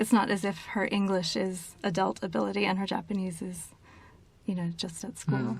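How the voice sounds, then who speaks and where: Lively intonation at a moderate pace in an American accent, with noticeable background noise. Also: woman, medium pitch for a woman. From United States. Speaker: publishing agency executive. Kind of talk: interview.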